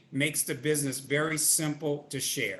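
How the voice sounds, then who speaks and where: A man speaks in a bright, sharp tone. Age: 60s. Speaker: network marketing field leader. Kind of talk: webinar interview. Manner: animated.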